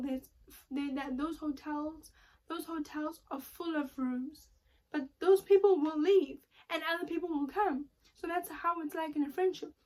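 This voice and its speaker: High-pitched female voice with fairly even intonation. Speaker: YouTuber giving life advice. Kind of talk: casual vlog monologue. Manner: fast; halting, many repetitions and fillers.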